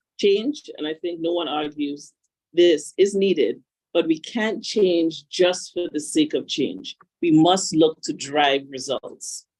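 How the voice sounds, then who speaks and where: Using lively intonation, a woman with a Grenadian accent and a fairly low pitch talks at a very slow pace. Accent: Caribbean (Grenadian). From Grenada, Caribbean. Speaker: panel speaker, institute representative. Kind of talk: conference panel remarks.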